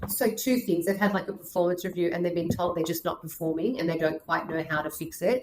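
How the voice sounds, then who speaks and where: A woman speaks with a strong Australian accent. Her pitch is fairly low and varies an ordinary amount. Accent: Australian, thick. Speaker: career and leadership coach. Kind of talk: podcast interview. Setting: video call.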